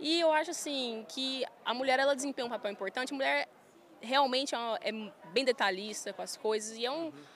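A woman with a rural Goiás accent, high in pitch, at a fairly quick pace with ordinary pitch variation. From Goiás, Brazil (Goiânia). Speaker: farm manager and influencer. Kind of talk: casual interview. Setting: trade fair stand.

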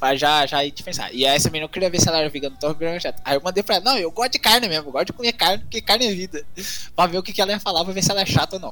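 A man's high voice, bright and sharp in tone, at a very fast pace. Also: ordinary pitch variation. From Minas Gerais, Brazil (rural). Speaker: university student. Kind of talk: casual chat.

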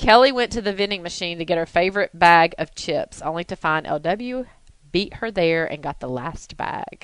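This woman has a normal speaking voice with a fairly low pitch. She moves at a moderate pace with lively intonation. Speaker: podcast host. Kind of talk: casual interview chat. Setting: studio.

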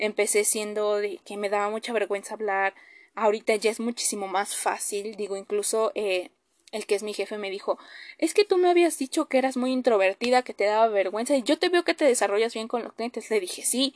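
The speech moves at a fairly quick pace with ordinary pitch variation, recorded with a dry, close sound with no echo against a quiet background. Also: woman, fairly high pitch for a woman. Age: 20s. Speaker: podcast host. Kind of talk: personal monologue. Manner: hesitant with many fillers.

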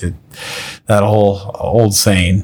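A man with a Minnesota accent. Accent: Minnesota-like A sound in flag, bag, tag. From Nebraska. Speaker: podcast host. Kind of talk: casual monologue. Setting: home apartment.

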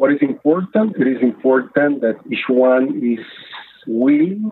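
A man with a Spanish accent talks very slowly, his intonation lively. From Nicaragua. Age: 50s. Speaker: faith-based water program director. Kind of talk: podcast interview. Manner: halting, many fillers.

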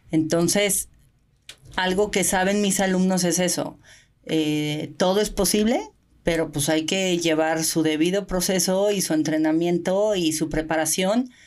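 At a fairly slow pace, a woman with a normal speaking voice talks in a fairly low pitch with fairly even intonation and very even loudness, in a very clean recording with a silent background. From Mexico. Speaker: Olympic swimmer and open-water coach. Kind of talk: casual interview.

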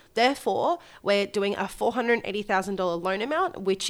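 With an Australian accent, a woman speaks at a medium pitch with ordinary pitch variation. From Australia, Gold Coast. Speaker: mortgage broker and podcast co-host. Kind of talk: solo podcast case study explanation. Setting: remote recording away from home.

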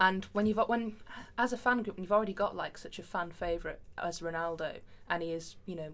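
At a fairly quick pace, a woman talks in a plain, everyday voice with ordinary pitch variation. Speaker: football fan, panelist. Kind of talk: casual chat.

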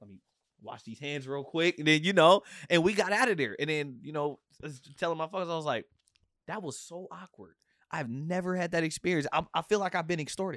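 A man talks at a fairly quick pace with an animated tone and a high pitch. His loudness swings a lot, while his pitch variation stays ordinary. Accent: American. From Portland, Oregon. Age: 30s. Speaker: musician. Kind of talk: casual chat.

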